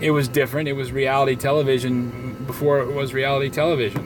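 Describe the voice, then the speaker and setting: Very fast speech from a man at medium pitch, with noticeable background noise. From Southwest Florida. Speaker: vlogger. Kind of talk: casual vlog monologue. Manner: halting, many fillers.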